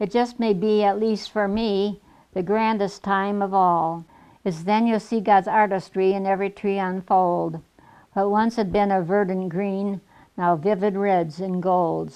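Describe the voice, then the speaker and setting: Against a quiet background, a woman speaks in a dark, mellow tone. Her pace is fairly slow and her intonation monotone and flat. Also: medium pitch for a woman. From Michigan. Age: 80s+. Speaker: poet. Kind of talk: poetry reading.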